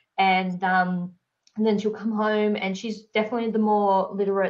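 Woman in an Australian accent, at a moderate pace with monotone, flat intonation. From Tasmania, Australia. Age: 30s. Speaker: entrepreneur. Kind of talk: casual interview chat.

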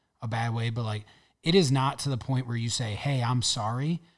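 In a very clean recording with a silent background, a man with an ordinary speaking voice talks at a moderate pace in a medium pitch. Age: 30s. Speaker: podcast co-host. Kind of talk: casual chat.

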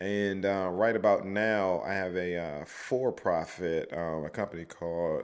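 With a very deep, low pitch, a man talks at a fairly slow pace on a very clean recording with a silent background. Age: 30s. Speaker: poet and non-profit founder. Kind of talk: casual chat.

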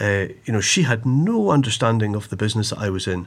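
A man talks in a Highland Scottish accent with ordinary pitch variation. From Scottish Highlands, Inverness. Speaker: TV news broadcaster and author. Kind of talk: casual chat.

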